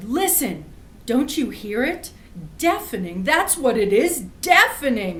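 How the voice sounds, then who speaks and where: Very wide pitch swings run through this put-on character voice as it talks at a fairly slow pace. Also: woman, high pitch for a woman. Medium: read story.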